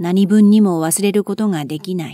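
Calm and soothing, a woman's medium-pitched voice has a dark, mellow tone, ordinary pitch variation and a fairly slow pace. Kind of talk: audiobook reading of a classic novel. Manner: calm, soothing.

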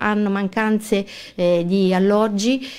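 A woman's fairly high-pitched, plain, everyday voice. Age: 40s. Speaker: lawyer and local election candidate. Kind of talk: radio interview. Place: studio. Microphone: studio mic.

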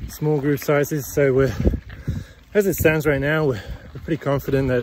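A man speaks in a dry sound with no echo, with noticeable background noise behind him. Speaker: bike coaching business owner. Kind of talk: casual vlog chat. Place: bicycle. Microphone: phone near.

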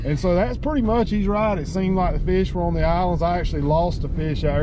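A man is speaking with a dry sound and no echo. Noticeable background noise can be heard. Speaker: fishing vlogger. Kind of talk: casual vlog chat. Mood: relaxed, good-humored. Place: car. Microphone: camera far.

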